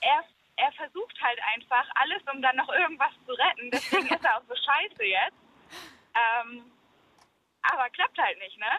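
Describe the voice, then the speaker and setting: A woman with a high pitch projects a raised voice with a bright, sharp tone and lively intonation. She keeps a moderate pace with long, frequent pauses, and the sound is dry and close with no echo. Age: 20s. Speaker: caller. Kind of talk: casual phone-in chat. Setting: phone call.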